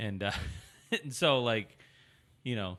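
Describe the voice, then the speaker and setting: A man speaks loudly and fairly slowly with a bright, sharp tone. His pitch varies in an ordinary way. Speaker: podcast co-host. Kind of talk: casual chat.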